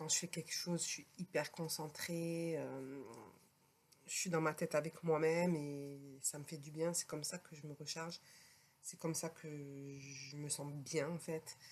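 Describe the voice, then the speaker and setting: Slow-paced, with long, frequent pauses, a woman speaks in a very deep, low voice with monotone, flat intonation and big swings in loudness. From France. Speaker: podcaster, healer. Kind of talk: personal podcast talk. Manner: hesitant, conversational.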